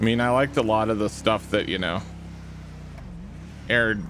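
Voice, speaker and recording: A man speaks at a moderate pace in a fairly low, relaxed voice. Noticeable background noise runs under him. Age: 40s. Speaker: streamer playing police roleplay game. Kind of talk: live gaming stream chat. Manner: casual, relaxed.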